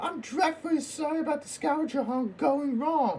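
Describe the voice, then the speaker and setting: A put-on character voice speaks high and at a moderate pace. Clear background noise runs underneath. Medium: machinima. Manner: polite, formal.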